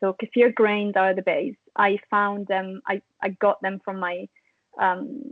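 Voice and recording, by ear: In a dry, close recording with no echo, a woman talks slowly at a medium pitch with little pitch movement.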